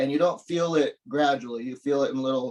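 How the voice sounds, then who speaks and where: A man speaks with an unremarkable speaking voice at a fairly high pitch. He moves at a fairly quick pace with ordinary pitch variation. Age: 50s. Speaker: pole fitness performer. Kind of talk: casual chat. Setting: podcast interview.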